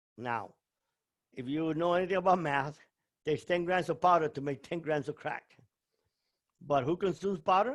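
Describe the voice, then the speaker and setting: A man with a fairly high pitch talks at a moderate pace with ordinary pitch variation. He leaves long, frequent pauses. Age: 60s. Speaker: former drug trafficker turned motivational speaker. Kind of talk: interview. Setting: video call. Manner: animated.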